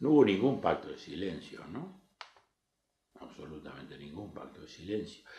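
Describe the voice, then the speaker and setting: A man with a fairly low pitch and a dark, mellow tone speaks somewhat breathily, with lively intonation, big swings in loudness, and long, frequent pauses. Audible room echo surrounds his voice. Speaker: politician. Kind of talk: interview. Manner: formal.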